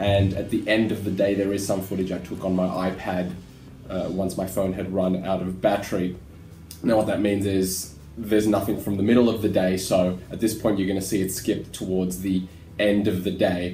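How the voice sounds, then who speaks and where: A man speaks in a very deep, low voice with flat, monotone intonation at a moderate pace. Faint music plays in the background, and room echo is audible. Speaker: travel vlogger. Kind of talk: casual vlog chat. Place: home room. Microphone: webcam.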